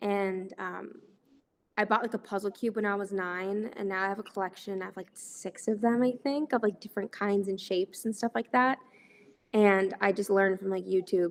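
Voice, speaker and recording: A woman with an American accent talks at a moderate pace with fairly even intonation. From Texas. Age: 20s. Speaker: actress. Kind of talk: interview. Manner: hesitant, filler-heavy.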